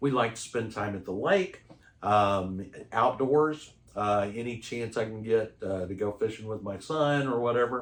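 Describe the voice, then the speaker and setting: A man speaks at a medium pitch and a fairly slow pace, with ordinary pitch variation. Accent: Texan. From Texas. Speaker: roofing company sales manager. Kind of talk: interview. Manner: hesitant, many fillers.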